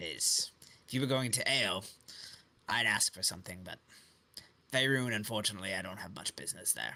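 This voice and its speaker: A man's raspy, put-on character voice, fairly low in pitch, at a fairly quick pace with long, frequent pauses. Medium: actual play. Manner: evasive.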